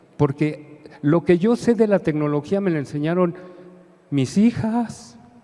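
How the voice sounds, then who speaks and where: A man with a high pitch and lively intonation at a fairly slow pace, over noticeable background noise. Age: 60s. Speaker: lay preacher. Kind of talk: sermon. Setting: church. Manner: animated.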